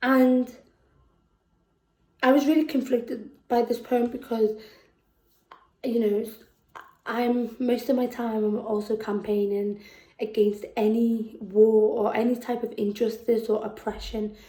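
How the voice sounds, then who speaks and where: In a Liverpool accent, a dark, mellow voice speaks at a fairly slow pace with monotone, flat intonation. Long pauses come often. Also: woman, fairly high pitch for a woman. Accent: Scouse. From Liverpool, England. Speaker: poet. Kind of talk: poetry performance. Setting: virtual performance. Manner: halting between poems.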